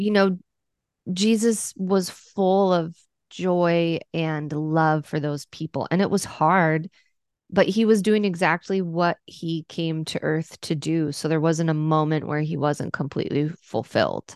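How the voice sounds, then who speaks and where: Fairly low in pitch, a woman talks slowly with fairly even intonation in an ordinary speaking voice. The sound is dry and close with no echo, over a quiet background. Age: 30s. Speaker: pastor. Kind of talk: interview conversation.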